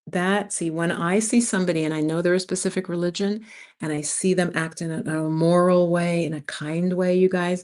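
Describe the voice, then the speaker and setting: A woman with an American accent talks at a moderate pace against a quiet background. She has an ordinary speaking voice, fairly low in pitch, with fairly even intonation. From New York City, US Northeast (early childhood in Jamaica). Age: 60s. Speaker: expat YouTuber, former community college teacher. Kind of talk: casual livestream chat. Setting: live stream from home.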